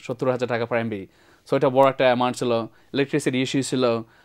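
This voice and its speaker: Against a quiet background, a man speaks at medium pitch. His intonation is monotone and flat. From Bangladesh, moved to the USA at age nine. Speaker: IT entrepreneur; talk show guest. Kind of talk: TV interview. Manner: halting, many fillers. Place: studio.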